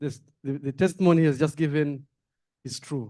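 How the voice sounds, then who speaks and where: Fairly high in pitch, a man speaks in a dark, mellow tone with fairly even intonation. The background is quiet. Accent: Rwandan. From Rwanda. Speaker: diplomat, audience member. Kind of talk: audience comment at meeting.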